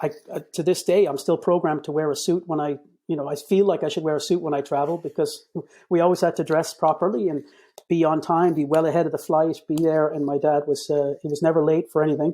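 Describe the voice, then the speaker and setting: This man speaks very fast in a Boston accent, his fairly high pitch carrying a dark, mellow tone and a monotone, flat intonation. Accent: American (Boston). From Boston, Massachusetts (via Cairo and Ennis, Co Clare). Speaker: communications director, podcast guest. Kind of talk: casual interview chat. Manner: halting, many repeated words and fillers.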